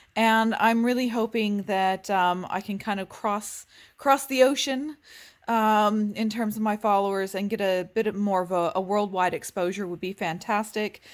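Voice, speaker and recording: Recorded very cleanly against a silent background, a woman with an American accent speaks at a moderate pace, her medium-pitched voice keeping a fairly even intonation. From United States. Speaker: vlogger. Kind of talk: casual vlog talk to camera. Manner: hesitant, many filler ums.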